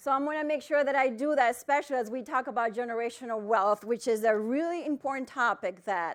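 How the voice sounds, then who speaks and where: A woman with a Spanish accent speaks loudly at a high pitch with ordinary pitch variation, against a quiet background. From Dominican Republic. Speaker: financial planner. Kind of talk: keynote talk. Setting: stage with audience. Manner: loud, projecting.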